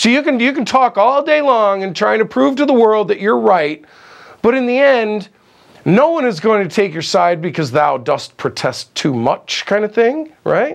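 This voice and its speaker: A loud man speaks at a moderate pace. His high pitch swings very widely. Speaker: film crew grip. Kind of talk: interview. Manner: animated.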